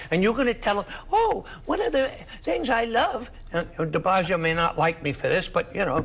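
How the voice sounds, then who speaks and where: A man with a New York accent speaks at a moderate pace in an animated tone, his loudness very even, over noticeable background noise. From New York City (Queens). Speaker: political analyst. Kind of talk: heated debate.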